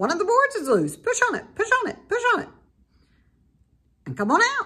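An extremely high-pitched put-on character voice at a fairly quick pace. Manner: talking rather fast, rattling off the words.

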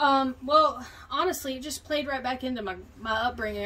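Light background noise sits behind a woman's voice. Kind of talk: interview answer. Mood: open, reflective. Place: garden. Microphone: camera far.

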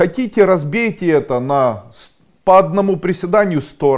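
A man talks at an average speed, with little to no sound behind him. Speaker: coach or school founder. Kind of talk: motivational talk to camera. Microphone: lapel.

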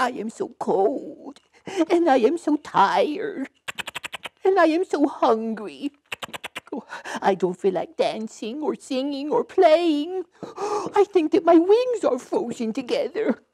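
A high-pitched cartoonish character voice moves through very wide pitch swings at a fairly slow pace. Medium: puppet show. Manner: pleading, plaintive.

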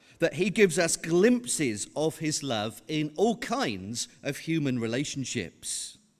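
A man speaks fairly slowly with vocal fry and very wide pitch swings, hardly pausing at all. The background is quiet. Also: fairly high pitch for a man. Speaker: visiting preacher. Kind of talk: sermon. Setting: church. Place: church. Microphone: podium.

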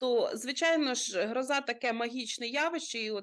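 Her high voice rises and falls in lively intonation as a woman speaks at a fairly slow pace. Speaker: rescue service expert. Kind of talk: TV interview giving safety advice. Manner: formal, explanatory.

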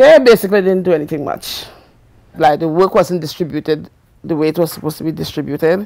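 A woman talks at a very fast pace in a fairly low pitch. Her tone is dark and mellow. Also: ordinary pitch variation, quiet background. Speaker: grandmother interviewee. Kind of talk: interview, elder life story. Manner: reflective, candid; measured, matter-of-fact. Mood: reflective about hard childhood. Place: home room.

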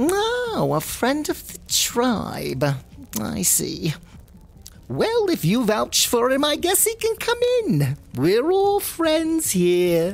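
A woman at a high pitch and a very slow pace, with very even loudness over clear background noise. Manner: warm, pushy, breezy.

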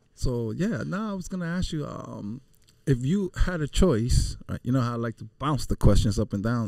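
Over a quiet background, a man speaks at a moderate pace in a dark, mellow tone. His pitch swings very widely, and the sound is dry with no echo. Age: 50s. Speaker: podcast co-host. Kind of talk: casual chat. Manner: animated. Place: studio. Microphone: studio mic.

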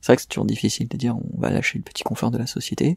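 A man's voice, dry and close with no echo. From France, Essonne near Paris. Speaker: environmental activist. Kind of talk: interview.

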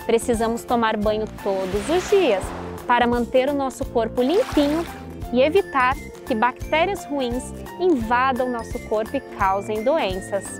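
Against clear music in the background, a woman speaks at a high pitch and a fairly slow pace with lively intonation, the sound dry with no echo. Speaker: nutritionist. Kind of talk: educational explanation for children. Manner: friendly, didactic. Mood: warm, friendly, gently animated. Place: waterside. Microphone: lapel.

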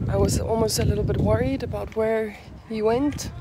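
A woman's voice, dry with no echo, over loud background noise. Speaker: vlogger. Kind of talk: casual vlog chat. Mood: playful, chatty. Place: street. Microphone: phone near.

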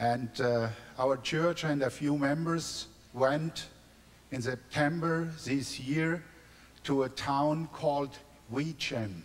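A man with a German accent and fairly high pitch speaks at a very slow pace with fairly even intonation and long, frequent pauses. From Germany, near Frankfurt; Germany. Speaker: pastor; guest. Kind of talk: testimony. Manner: halting, repeating words in broken English. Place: church. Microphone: handheld.

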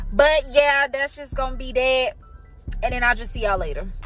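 With faint music in the background, a woman talks at a fairly quick pace with ordinary pitch variation in a dry recording with no echo. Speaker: vlogger. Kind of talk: casual vlog chat. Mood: excited about moving day. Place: car. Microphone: phone near.

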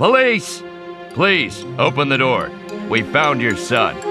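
Over faint background music, a man does a put-on character voice at medium pitch, slowly, with a bright, sharp tone and very wide pitch swings.

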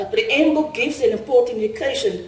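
Audible room echo surrounds the voice. A woman speaks at a fairly quick pace. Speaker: conference speaker. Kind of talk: lecture. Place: hall. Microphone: podium.

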